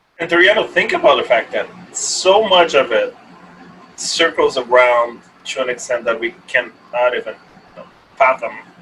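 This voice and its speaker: A man speaks at a moderate pace, leaving long, frequent pauses, over noticeable background noise. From Brazil. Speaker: app startup founder. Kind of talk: casual interview chat.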